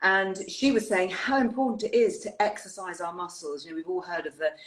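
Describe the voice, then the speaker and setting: Speaking with an English accent, a woman moves at a fairly quick pace with ordinary pitch variation. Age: 60s. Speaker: wellbeing show host. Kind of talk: live interview chat. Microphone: technical issues from bad weather.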